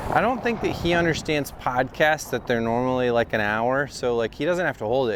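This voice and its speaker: A man with an American accent talks at a fairly quick pace with lively intonation over noticeable background noise. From Wisconsin, US. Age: 40s. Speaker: comedian. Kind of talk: casual chat. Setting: outdoors, walking downtown.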